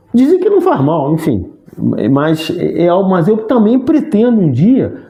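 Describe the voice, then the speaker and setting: The pace is moderate. Pitch moves in very wide swings. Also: man. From Rio de Janeiro, Brazil. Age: 60s. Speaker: sports commentator and actor. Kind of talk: interview conversation. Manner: halting, frequent restarts.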